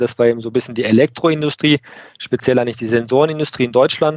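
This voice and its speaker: A man talks with fairly even intonation. His pitch is medium. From Lake Constance region, southern Germany. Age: 30s. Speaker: production manager. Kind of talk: interview podcast conversation. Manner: hesitant with many fillers.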